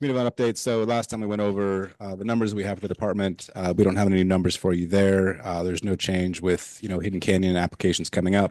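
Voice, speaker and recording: Fairly even in intonation, a man rattles along at a very fast pace. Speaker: county planning staff. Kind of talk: public meeting report.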